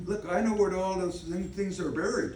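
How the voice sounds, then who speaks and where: A man with an American accent, plus noticeable background noise. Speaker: freemason past grand master. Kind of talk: lodge speech, oral history.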